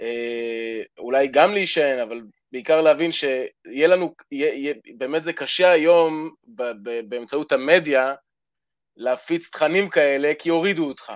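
A man with a fairly high voice speaks at a moderate pace. His pitch varies in an ordinary way while his loudness swings widely. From Israel. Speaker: caller. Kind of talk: call-in conversation. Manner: halting.

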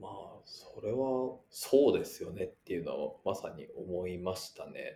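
Big swings in loudness from a man speaking at a fairly slow pace. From Japan, Yamaguchi. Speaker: venture capitalist. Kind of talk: casual chat. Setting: online call.

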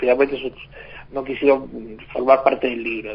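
A man is speaking. His pace is moderate. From Argentina, Hurlingham (Buenos Aires). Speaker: teacher and biographer. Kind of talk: radio interview.

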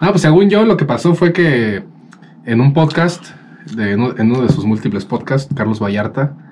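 Noticeable background noise sits behind a man who speaks at a fairly high pitch with very wide pitch swings. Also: moderate pace. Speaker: podcast co-host. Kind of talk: casual chat.

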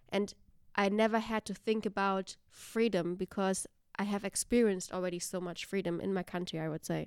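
In a very clean recording with a silent background, a woman with a German accent speaks at a fairly quick pace and a medium pitch. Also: fairly even intonation. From Germany. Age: 20s. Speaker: university staff. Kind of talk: casual chat.

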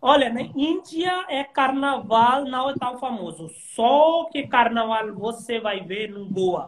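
The speaker has an Indian accent and lively intonation, with big swings in loudness. The pace is very slow, with hardly any pauses. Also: man, extremely high pitch for a man. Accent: Indian-accented Portuguese, non-native. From India, Himachal. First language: Hindi / local Himachal language (speaking Portuguese). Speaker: translator. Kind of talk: interview on a livestream.

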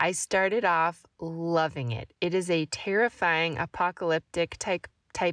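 A woman's fairly low voice with a Midwestern American accent, dry and close with no echo, on a very clean recording with a silent background. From US Midwest, southwest Missouri. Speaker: book podcast host. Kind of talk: book review monologue.

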